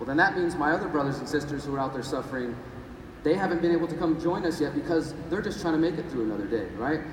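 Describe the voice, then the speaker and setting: At a very fast pace, a man with a fairly high pitch and ordinary pitch variation speaks over noticeable background noise, with audible room echo. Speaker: activist and journalist. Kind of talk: conference talk. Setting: stage with audience. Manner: animated.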